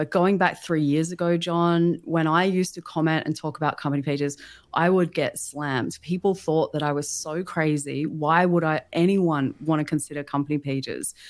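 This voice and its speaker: An enthusiastic woman with an Australian accent and a fairly low pitch. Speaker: LinkedIn marketing consultant and business founder. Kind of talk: livestream interview.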